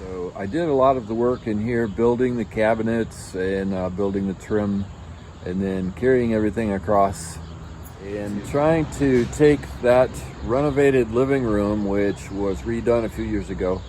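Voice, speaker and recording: Noticeable background noise sits behind a man whose fairly low voice moves with lively intonation at a moderate pace. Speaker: home renovation vlogger. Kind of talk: casual vlog narration.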